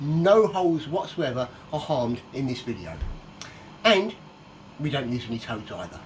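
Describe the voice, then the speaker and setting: Speaking with a northern English accent, a man keeps a moderate pace. His fairly high voice swings very widely in pitch. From northern England. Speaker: cook. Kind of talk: cooking tutorial. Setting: home kitchen. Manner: casual, chatty.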